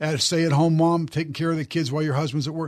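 A plain, everyday voice from a man with a fairly high pitch and fairly even intonation, over a quiet background. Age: 60s. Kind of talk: interview. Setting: studio.

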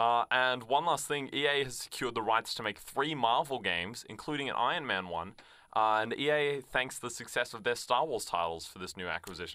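An Australian accent marks this man's bright, sharp tone, delivered at a medium pitch and a fairly quick pace. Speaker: radio host. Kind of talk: casual chat. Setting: studio.

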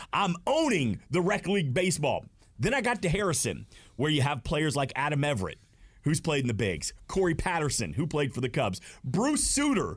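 With an American accent, a man speaks in a fairly high, energetic voice with vocal fry, very wide pitch swings and very even loudness. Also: moderate pace, very clean recording, silent background. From Georgia, US South (Smyrna, near Atlanta). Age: 40s. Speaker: stadium host and former radio host. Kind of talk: casual chat. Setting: studio.

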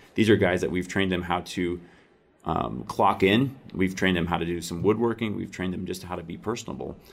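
This man has a very deep, low pitch with vocal fry and an American accent. He moves at a fairly quick pace. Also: ordinary pitch variation. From US Midwest, northern Iowa. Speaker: business owner, furniture maker. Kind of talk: radio interview.

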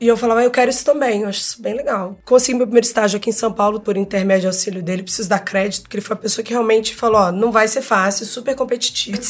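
A woman's fairly high voice at a very fast pace, fairly even in intonation, with hardly any pauses. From Rio de Janeiro, Brazil. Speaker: advertising creative director and actress. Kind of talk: casual chat.

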